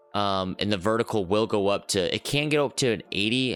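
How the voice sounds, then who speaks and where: A man's fairly low voice, with music in the background. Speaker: gaming YouTuber. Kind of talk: gameplay tutorial. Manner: fast, with fillers.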